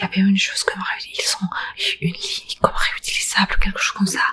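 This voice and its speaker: A woman whispers at a moderate pace. Noticeable background noise runs underneath. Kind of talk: ASMR. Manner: chatty, rambling.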